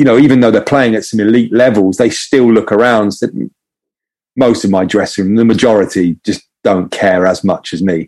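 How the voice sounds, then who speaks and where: A man speaks at a moderate pace. His voice is fairly low, with ordinary pitch variation. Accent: English. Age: 40s. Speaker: ex pro footballer and performance coach. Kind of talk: casual chat. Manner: halting.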